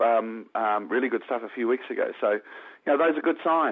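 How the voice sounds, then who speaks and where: Fairly quick speech from a man of medium pitch with a New Zealand accent. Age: 40s. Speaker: professional golfer. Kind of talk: interview.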